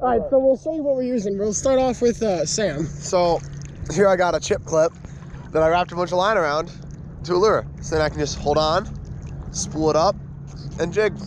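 A man talks at a fairly quick pace with lively intonation. The sound is dry with no echo, though background noise is noticeable. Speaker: vlogger fishing by hand. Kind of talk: casual vlog chat. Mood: cheerful, laughing. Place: waterside. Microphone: phone near.

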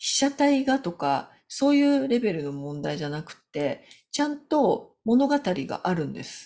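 A woman at a fairly slow pace, with big swings in loudness. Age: 50s. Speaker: business consultant; business coach. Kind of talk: solo video talk. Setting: home. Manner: halting. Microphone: webcam.

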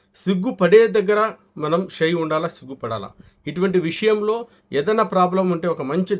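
This man's speech has ordinary pitch variation. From Kadapa, Andhra Pradesh (Rayalaseema). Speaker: homeopathy and ayurvedic doctor. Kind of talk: health advice and sales pitch.

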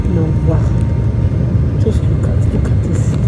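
Loud background noise fills the recording. The speaker talks at a fairly slow pace. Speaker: parent vlogger. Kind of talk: casual vlog chat. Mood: amazed, playful. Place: plane. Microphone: phone near.

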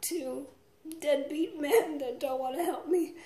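Her pitch high and her tone dark and mellow, a woman speaks with fairly even intonation in audible room echo. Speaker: comedian, actress. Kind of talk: casual comedic vlog monologue. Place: home room. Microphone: phone near.

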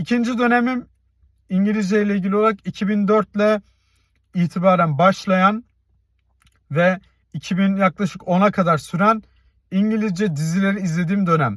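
With long, frequent pauses, a man speaks at a moderate pace in a high voice with ordinary pitch variation, recorded very cleanly against a silent background with a dry, close sound and no echo. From Turkey, Tekirdağ. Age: 30s. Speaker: YouTuber. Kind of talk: personal vlog monologue.

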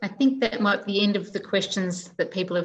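A woman speaks at a medium pitch with an Australian accent. Light background noise is present. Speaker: librarian host. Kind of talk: online event moderation. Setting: video call. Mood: warm, appreciative. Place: home room. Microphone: video call.

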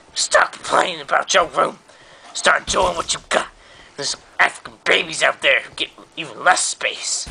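Moderate pace from a man, loudness swinging widely. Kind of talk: comic overacting. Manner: loud, blustering, bossy.

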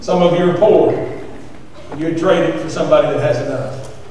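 A man speaks with a high pitch for a man. There is strong room echo and light background noise. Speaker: preacher. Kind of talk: sermon. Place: church.

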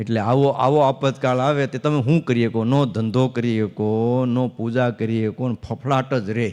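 A man talks in a normal speaking voice at a medium pitch with fairly even intonation. The background is quiet. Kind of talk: religious discourse.

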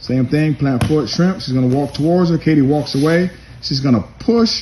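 Some light noise sits in the background. Over it, a man talks at a medium speed. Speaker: judo coach narrating a demonstration. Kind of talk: instructional commentary. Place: gym. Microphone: phone near.

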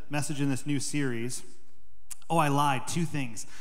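The speaker is a man at a moderate pace. The background is quiet. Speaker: pastor giving announcements. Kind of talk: sermon announcements. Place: church. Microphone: handheld.

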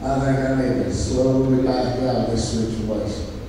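Strong room echo and light background noise accompany a man with an American accent speaking at a fairly slow pace. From East Texas. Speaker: cowboy church preacher. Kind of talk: sermon with folksy personal storytelling to a church congregation. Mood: folksy, warm.

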